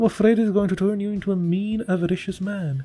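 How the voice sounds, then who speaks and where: A man speaks at a fairly quick pace with music in the background. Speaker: audiobook narrator. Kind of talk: short story reading.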